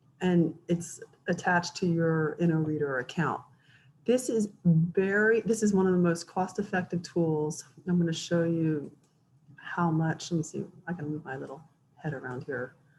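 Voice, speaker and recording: A woman's somewhat breathy, fairly low voice with ordinary pitch variation, at a moderate pace. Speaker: online educator and author. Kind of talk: tutorial.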